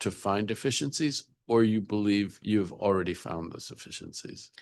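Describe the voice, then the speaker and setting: A man speaks at a moderate pace with fairly even intonation over a quiet background. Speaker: council member chairing hearing. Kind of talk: government oversight hearing. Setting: council hearing room, also on Zoom. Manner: soft-spoken.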